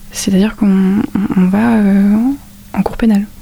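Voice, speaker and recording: Amid noticeable background noise, a woman speaks at a medium pitch with a monotone, flat intonation. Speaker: midwifery student, student association president. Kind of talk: interview.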